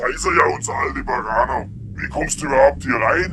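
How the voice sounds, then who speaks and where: A man performs a put-on character voice. Clear background noise runs underneath. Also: moderate pace. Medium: short film. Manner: crude, mocking, menacing.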